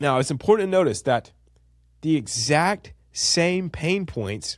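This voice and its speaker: Pitched high, this man's voice swings very widely. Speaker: copywriting teacher. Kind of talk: online course lecture. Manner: casual, conversational.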